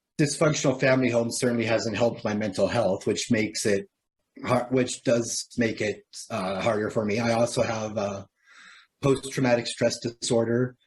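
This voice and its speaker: Here a man speaks with a Canadian accent at a moderate pace. His voice sits at a medium pitch, somewhat breathy, with fairly even intonation. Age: 30s. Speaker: person with lived experience of poverty. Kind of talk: interview.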